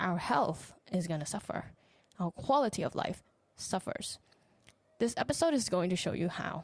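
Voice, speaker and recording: Speaking in a Thai accent, a woman uses lively intonation at a medium pitch, her voice somewhat breathy. She keeps a moderate pace broken by long, frequent pauses. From Thailand. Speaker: podcast host, relationship coach. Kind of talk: solo podcast reflection.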